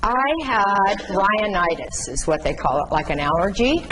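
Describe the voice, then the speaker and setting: Noticeable background noise fills the recording, along with audible room echo. Through it comes a woman's voice at a medium pitch. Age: 70s. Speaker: patient speaker on chronic illness. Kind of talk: talk to nursing students. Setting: classroom with student audience. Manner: halting.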